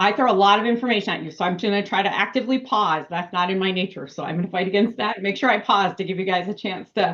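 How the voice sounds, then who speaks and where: Speaking very fast, this woman stays at a medium pitch. The rise and fall of her voice is ordinary. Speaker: municipal finance consultant. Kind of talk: budget presentation at town board meeting.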